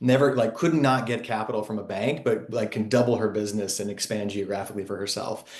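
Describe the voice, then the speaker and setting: Enthusiastic and animated, a man with an American accent talks at a very fast pace in a fairly low pitch, with ordinary pitch variation and hardly any pauses. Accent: Texan, comes out when talking about home. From Texas (Sherman, small town). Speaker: fintech company CEO. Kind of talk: podcast interview. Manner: enthusiastic, animated.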